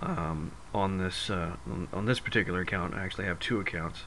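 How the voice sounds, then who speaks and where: A very deep, low male voice with ordinary pitch variation, amid audible room echo and noticeable background noise. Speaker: gaming video creator. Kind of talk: gameplay tutorial. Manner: halting, many fillers.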